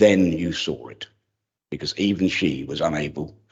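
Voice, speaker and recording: Fairly slow speech with vocal fry and ordinary pitch variation. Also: man. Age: 80s+. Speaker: local councillor. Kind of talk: memorial tribute speech. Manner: formal.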